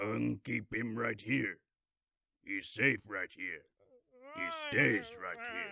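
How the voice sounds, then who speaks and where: A man puts on a raspy character voice with fairly low pitch. He talks at a very slow pace, with long, frequent pauses. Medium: dub.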